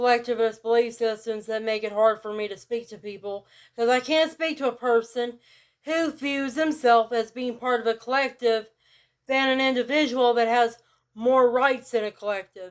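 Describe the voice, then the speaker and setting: A woman speaks in a rural Southern US accent at a high pitch. Her pace is moderate and her intonation fairly even. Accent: rural Southern US, country. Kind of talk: casual talk to camera.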